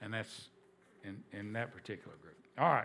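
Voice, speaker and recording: A man speaks at a moderate pace in a southern Appalachian accent with a bright, sharp tone. The recording is very clean with a silent background. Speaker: history teacher. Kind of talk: lecture. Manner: conversational, repetitive restarts.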